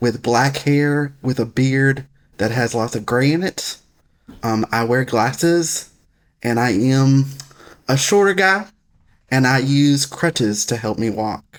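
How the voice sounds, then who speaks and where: The man's pitch is medium. He talks at a very slow pace with long, frequent pauses. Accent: Southern US. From US South, Alabama. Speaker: foundation executive director. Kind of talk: interview. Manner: occasional pauses to get words out.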